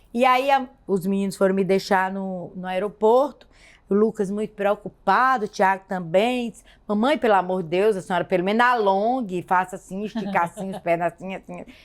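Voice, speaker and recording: The woman has an ordinary speaking voice at a medium pitch, and her pitch varies in an ordinary way. Her loudness swings in big ways. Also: moderate pace. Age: 60s. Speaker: woman of faith sharing her testimony. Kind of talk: testimony.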